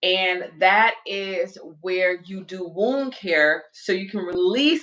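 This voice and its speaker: Ordinary pitch variation runs through a woman's speech in a Southern US accent. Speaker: spiritual livestream host. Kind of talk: casual livestream talk. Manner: animated.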